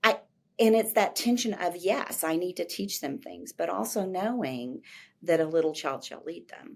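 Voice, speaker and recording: With a silent background and a very clean recording, a woman talks at a moderate pace. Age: 60s. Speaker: professor of teacher education. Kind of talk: interview conversation.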